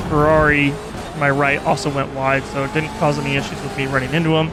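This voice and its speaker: Very fast, mumbling male speech, fairly high in pitch and monotone, flat in intonation, with audible room echo and noticeable background noise. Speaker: sim racing gamer. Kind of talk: gameplay commentary over replay. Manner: casual, halting.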